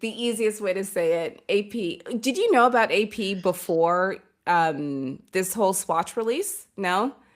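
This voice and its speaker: On a very clean recording with a silent background, a woman speaks at a medium pitch with ordinary pitch variation. She goes at a fairly slow pace yet hardly pauses. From Canada, Toronto. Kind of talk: casual chat.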